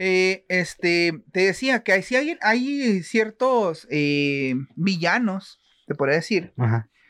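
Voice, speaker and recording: A man with a Mexican accent, high pitch, very wide pitch swings, very even loudness and a very slow pace against a quiet background. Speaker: podcast co-host. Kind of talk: casual chat. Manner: animated.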